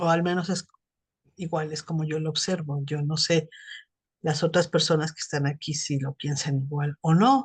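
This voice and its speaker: Her pitch is very deep and low, and her voice somewhat breathy. The woman keeps a moderate pace. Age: 60s. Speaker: psychotherapist. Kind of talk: casual chat.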